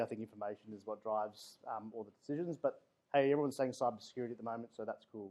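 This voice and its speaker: With an Australian accent, this man's pitch rises and falls in an ordinary way. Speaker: security architect. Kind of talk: guest talk. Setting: room with audience.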